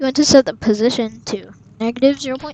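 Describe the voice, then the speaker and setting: Here a woman speaks at a fairly quick pace with ordinary pitch variation. The sound is dry and close, with no echo. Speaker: gaming tutorial youtuber. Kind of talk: tutorial.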